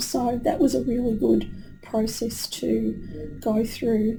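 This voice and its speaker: A woman with an Australian accent speaks fairly slowly at a fairly high pitch, her intonation fairly even. Music plays in the background, and the room echo is audible. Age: 60s. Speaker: retired teacher, client. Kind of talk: testimonial interview. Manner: hesitant with fillers.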